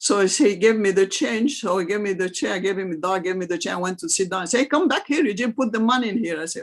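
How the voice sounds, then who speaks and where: Lively in intonation, the voice races at a very fast pace with hardly any pauses. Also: woman, medium pitch for a woman. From Egypt, Cairo. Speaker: refugee interviewee. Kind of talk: interview storytelling. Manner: animated.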